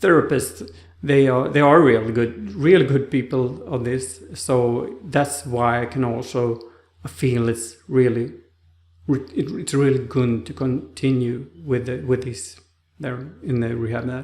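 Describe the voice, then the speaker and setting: A man with a Swedish accent at medium pitch, ordinary pitch variation and a fairly slow pace, with audible room echo. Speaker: stroke survivor vlogger. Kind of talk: personal vlog talk. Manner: halting, with many restarts.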